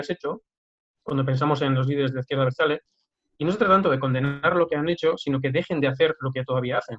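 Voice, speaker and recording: A man's fairly high-pitched voice at a very fast pace, with ordinary pitch variation and a dry, close sound with no echo. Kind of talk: casual chat.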